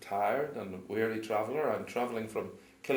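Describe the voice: Fairly even intonation in plain reading aloud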